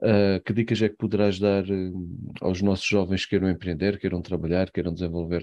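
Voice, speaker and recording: Against a quiet background, a man with a European Portuguese accent speaks at a moderate pace in a very deep, low pitch, with a dark, mellow tone and monotone, flat intonation. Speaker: podcast host. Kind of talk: interview. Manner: halting.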